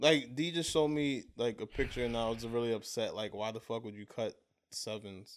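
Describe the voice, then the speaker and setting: This man has an American accent and a medium pitch. He talks at a fairly quick pace with ordinary pitch variation. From Brooklyn, New York. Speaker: sneaker podcast co-host. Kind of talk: casual chat.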